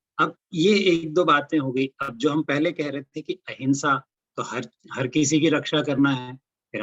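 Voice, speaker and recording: A man with a Marathi accent speaks in fairly even intonation, the sound dry and close with no echo. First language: Marathi (speaking Hindi). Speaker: religious lecturer. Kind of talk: lecture. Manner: halting, frequent fillers.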